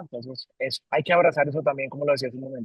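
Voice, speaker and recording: Ordinary pitch variation in a fairly high-pitched male voice. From Colombia. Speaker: company CEO. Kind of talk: interview. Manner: halting, many repetitions.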